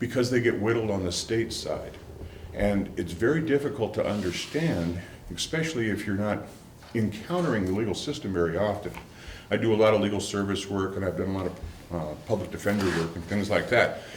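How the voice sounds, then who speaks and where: In an Upper Midwest accent, a man with a fairly low pitch and ordinary pitch variation talks at a fairly quick pace, with audible room echo and noticeable background noise. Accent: Upper Midwest American. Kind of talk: public talk to an audience.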